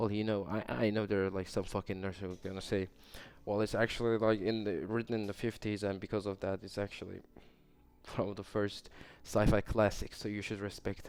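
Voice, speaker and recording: With a Turkish accent, a man speaks in a fairly low, monotone, flat voice. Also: fairly quick pace. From Turkey. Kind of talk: casual podcast ramble. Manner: rambling, hesitant.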